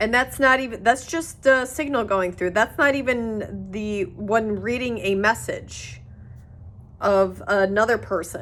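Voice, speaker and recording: A woman with a fairly high pitch speaks at a fairly slow pace. Her pitch variation is ordinary. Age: 30s. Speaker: video blogger. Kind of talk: casual monologue. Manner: halting, many fillers and restarts.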